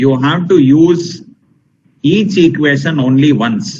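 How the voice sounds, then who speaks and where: A man with a Tamil accent talks at a fairly slow pace with lively intonation. His voice is somewhat breathy, and there is audible room echo. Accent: Tamil-accented Indian English. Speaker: teacher. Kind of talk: lecture. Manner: slow, deliberate; emphatic, repetitive.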